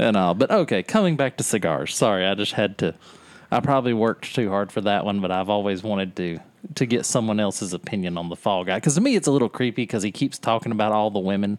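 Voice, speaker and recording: A man with a Southern US accent talks at a very fast pace in a fairly low pitch with ordinary pitch variation, in a very clean recording with a silent background. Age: 40s. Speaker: podcast co-host. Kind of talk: casual chat. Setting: back porch, outdoors.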